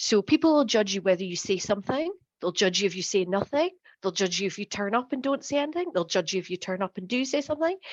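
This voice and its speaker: Speaking with an American accent, the voice swings very widely in pitch. The background is quiet. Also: woman. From northeast Scotland, near Aberdeen. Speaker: LinkedIn content coach. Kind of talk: workshop presentation.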